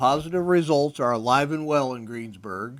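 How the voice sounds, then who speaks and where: In a very clean recording with a silent background, a man talks at a moderate pace, his fairly high pitch showing ordinary variation. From US Midwest, Indiana. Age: 60s. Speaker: bank president. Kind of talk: prepared speech.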